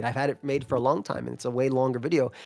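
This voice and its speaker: Here a man talks at a very fast pace with a medium pitch. His intonation stays fairly even. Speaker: competitive gaming YouTuber. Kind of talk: casual chat.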